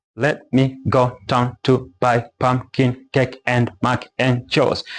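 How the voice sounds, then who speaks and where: A man's put-on, robotic character voice at medium pitch, flat and monotone, very even in loudness, at a very slow pace. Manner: flat, robotic, stress misplaced.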